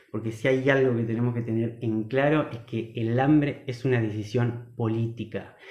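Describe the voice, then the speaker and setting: Over noticeable background noise, the speech moves at a moderate pace with hardly any pauses and a monotone, flat intonation. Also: man, medium pitch for a man. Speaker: agroecology speaker. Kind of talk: online talk / livestream presentation. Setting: live online stream.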